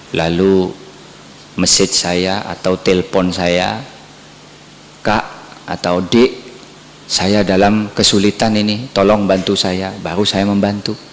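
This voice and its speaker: Over noticeable background noise, a man with a Madurese accent speaks very slowly in a fairly low pitch, with long, frequent pauses, monotone, flat intonation and very even loudness. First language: Madurese (speaking Indonesian). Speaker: Islamic preacher. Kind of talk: sermon.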